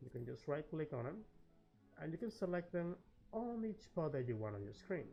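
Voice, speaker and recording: A man's fairly high voice at a moderate pace with very wide pitch swings, music in the background. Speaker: game guide creator. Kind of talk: gaming tutorial narration. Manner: friendly, casual.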